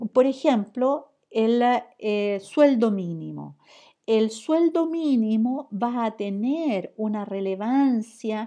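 Speaking at a very slow pace with a Chilean accent, a woman uses lively intonation, a fairly high pitch and a dark, mellow tone against a quiet background. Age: 60s. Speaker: professor. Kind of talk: lecture. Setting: recorded online class. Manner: halting.

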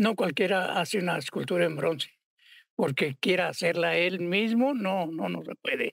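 A man speaks in a high voice at a moderate pace. The sound is dry with no echo, and the background is quiet. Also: ordinary pitch variation. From Mexico, Morelia (Michoacán); Michoacán, Mexico. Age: 80s+. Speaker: sculptor and bronze founder; guest. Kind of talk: interview.

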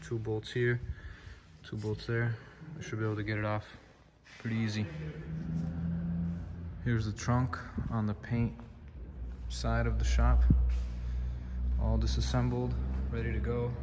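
Loud background noise fills the recording. A man speaks at a moderate pace with long, frequent pauses. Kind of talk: casual vlog chat. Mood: upbeat, excited. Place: workshop. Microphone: phone near.

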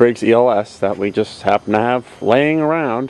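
In a normal speaking voice, a man talks at a moderate pace with ordinary pitch variation, and the sound is dry with no echo. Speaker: owner showing his tractor. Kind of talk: casual show-and-tell narration. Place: street. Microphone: phone near.

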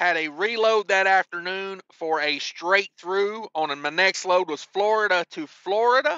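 High-pitched man at a fairly slow pace with ordinary pitch variation, dry sound with no echo and a quiet background. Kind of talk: casual vlog chat. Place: car. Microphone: phone near.

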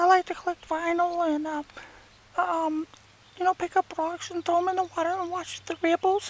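An extremely high-pitched cartoonish character voice at a moderate pace, with monotone, flat intonation. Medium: puppet. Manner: rambling, self-absorbed.

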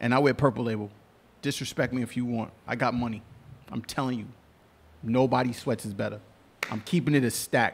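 With a New York accent, a man talks at a fairly quick pace and medium pitch. His intonation is fairly even, broken by long, frequent pauses. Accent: New York City. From New York City, Queens. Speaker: show producer and guest co-host. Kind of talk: casual chat.

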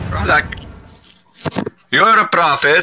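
A man's very slow speech, dry with no echo, over light background noise. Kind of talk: heated debate. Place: home room. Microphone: headset.

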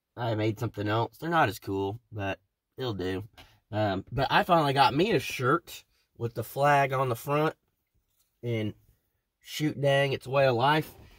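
The speech runs at a fairly slow pace with ordinary pitch variation and long, frequent pauses. The background is quiet. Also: man. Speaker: channel host. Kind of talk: casual vlog chat. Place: car. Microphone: phone near.

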